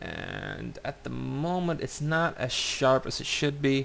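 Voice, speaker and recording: Through noticeable background noise, a man talks very slowly. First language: not English. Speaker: vlogger. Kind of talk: casual video commentary. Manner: halting. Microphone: cheap webcam microphone.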